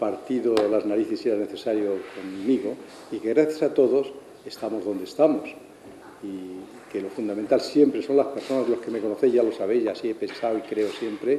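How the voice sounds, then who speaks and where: A man's speech comes at a fairly quick pace, with ordinary pitch variation, amid noticeable background noise. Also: medium pitch for a man. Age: 70s. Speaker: astrophysicist, research centre director. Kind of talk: farewell speech.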